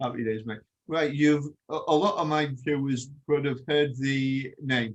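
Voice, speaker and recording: With an English accent, a man speaks at a fairly slow pace and keeps his intonation fairly even. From England. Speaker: podcast host. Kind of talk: interview.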